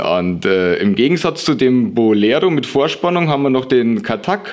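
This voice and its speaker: Noticeable background noise sits behind the speaker. He is a man talking fairly slowly. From Lower Bavaria, Germany. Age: 20s. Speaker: longboard maker. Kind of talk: interview. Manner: hesitant with frequent fillers.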